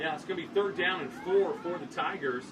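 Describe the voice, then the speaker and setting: A man's high-pitched voice, fairly slow, with lively intonation, audible room echo and noticeable background noise. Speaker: play-by-play sports commentator. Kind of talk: live commentary.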